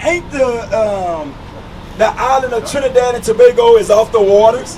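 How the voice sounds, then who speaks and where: Over noticeable background noise, a man with an American accent talks in an animated tone at an extremely high pitch, keeping a moderate pace and ordinary pitch variation. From United States. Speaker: street preacher. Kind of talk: preaching.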